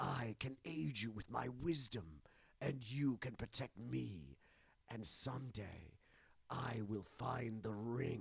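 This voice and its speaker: This is a put-on character voice with lively intonation. The pace is fairly slow. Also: man, medium pitch for a man. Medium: read story. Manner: intense, grim.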